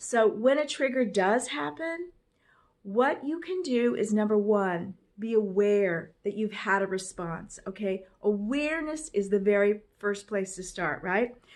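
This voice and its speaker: A woman with an unremarkable speaking voice talks at a fairly slow pace and medium pitch, her intonation lively. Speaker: life coach. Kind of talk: motivational talk. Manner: casual.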